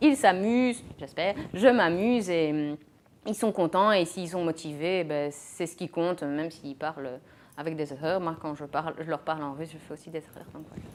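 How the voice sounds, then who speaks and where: With a normal speaking voice, a woman talks at a moderate pace and a fairly low pitch, her pitch varying in an ordinary way while her loudness swings widely. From Belgium, Mons. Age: 20s. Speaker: teacher. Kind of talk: interview.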